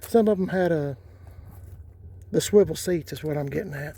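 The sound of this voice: A man speaks at a fairly slow pace with a fairly high pitch. His tone is dark and mellow.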